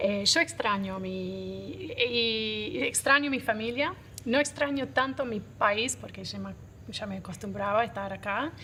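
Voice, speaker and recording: A woman with an English accent talks at a fairly slow pace. Her loudness swings widely. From Australia. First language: English (speaking Spanish). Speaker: coffee roaster and business owner. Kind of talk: interview.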